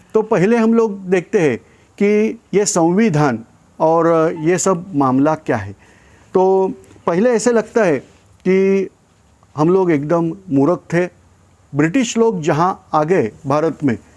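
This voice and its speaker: A man speaks at a high pitch for a man, with lively intonation. He leaves long, frequent pauses. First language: not Hindi (speaking Hindi). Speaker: YouTube channel host. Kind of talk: informational talk. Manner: hesitant, many fillers.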